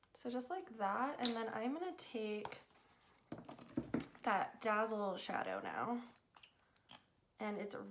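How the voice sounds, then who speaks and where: A woman's fairly high voice with lively intonation at a very slow pace, long and frequent pauses, and noticeable background noise. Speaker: beauty vlogger. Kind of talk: makeup tutorial talk to camera. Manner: quieter than normal.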